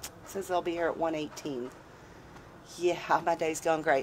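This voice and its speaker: The speech shows ordinary pitch variation. Light background noise sits behind it. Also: woman. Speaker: van dweller vlogger. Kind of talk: casual vlog chat. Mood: wry, mildly exasperated. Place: street. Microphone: phone near.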